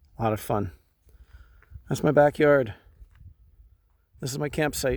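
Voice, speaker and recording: Vocal fry runs through this man's voice. He talks at a moderate pace. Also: medium pitch for a man, ordinary pitch variation. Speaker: vlogger. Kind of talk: casual vlog talk to camera. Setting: outdoors in the forest.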